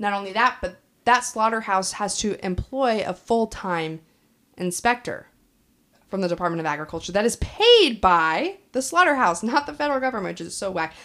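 A woman's a plain, everyday voice in an American accent, medium in pitch and lively in intonation, at a moderate pace with big swings in loudness. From Kansas. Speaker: podcast co-host. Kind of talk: casual chat.

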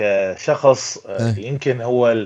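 A man speaks at a very slow pace. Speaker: movie critic. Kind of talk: casual chat.

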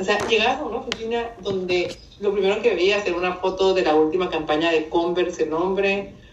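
Hardly pausing, a woman talks at a fairly quick pace with ordinary pitch variation. Noticeable background noise and audible room echo surround her voice. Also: medium pitch for a woman. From northern Mexico (Mexicali, Baja California). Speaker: communication and image consultant. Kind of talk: casual chat.

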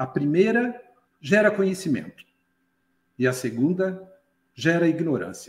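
A man's high-pitched, lively voice at a fairly slow pace, broken by long, frequent pauses. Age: 60s. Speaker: retired IT professional and ufology enthusiast. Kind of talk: casual chat.

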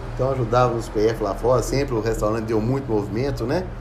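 Audible room echo and noticeable background noise surround a man's voice. He speaks at a medium pitch with fairly even intonation. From Brazil, Minas Gerais (Ribeirão das Neves). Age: 50s. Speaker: podcast host. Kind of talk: casual personal storytelling. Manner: halting, frequent fillers.

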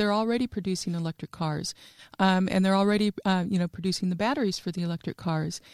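A woman with an American accent speaks in a plain, everyday voice at a medium pitch with ordinary pitch variation, recorded very clean against a silent background with a dry, close sound and no echo. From New Mexico, US. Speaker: regional development executive. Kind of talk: interview. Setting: studio.

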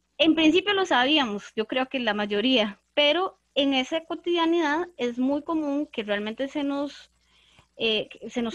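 A woman's high voice swings very widely in pitch. The background is quiet, and the sound is dry and close with no echo. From Costa Rica, Desamparados. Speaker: literature teacher, podcast co-host. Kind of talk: casual panel discussion.

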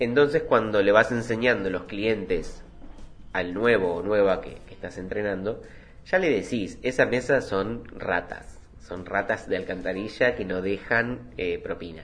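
A Rioplatense accent at a fairly slow pace, with ordinary pitch variation, big swings in loudness, and music in the background. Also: man, fairly low pitch for a man. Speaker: podcast host, former restaurant worker. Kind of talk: solo podcast monologue.

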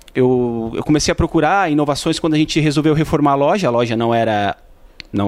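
The pace is fairly quick. Intonation stays lively throughout. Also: man. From Tubarão, Santa Catarina, southern Brazil. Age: 30s. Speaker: shop owner and agronomist. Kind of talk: interview. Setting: in a shop. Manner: halting, many repetitions.

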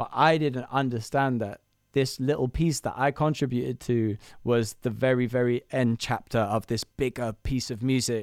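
With a London accent, a man talks at a moderate pace and medium pitch, keeping his intonation fairly even. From London, Camden. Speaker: songwriter and producer. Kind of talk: interview. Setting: remote call from his studio.

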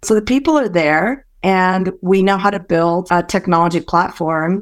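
A woman with a Californian accent speaks with fairly even intonation on a very clean recording with a silent background. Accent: general American, grew up in California. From Malaysia, then San Francisco Bay Area. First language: Hokkien. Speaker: startup co-founder. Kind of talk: casual interview.

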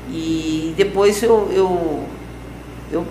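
Noticeable background noise and audible room echo surround the recording. A woman speaks with a fairly low pitch and ordinary pitch variation. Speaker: nun and social project founder. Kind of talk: interview. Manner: halting.

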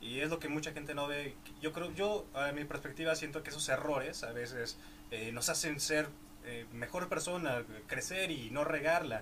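Speech at a moderate pace with ordinary pitch variation, audible room echo, and noticeable background noise. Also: man, fairly high pitch for a man. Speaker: podcast host. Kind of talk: interview.

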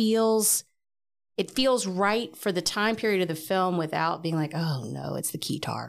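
A woman speaks in a plain, everyday voice at medium pitch with lively intonation and a fairly slow pace. The recording is very clean, with a silent background. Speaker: podcast guest. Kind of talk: casual chat.

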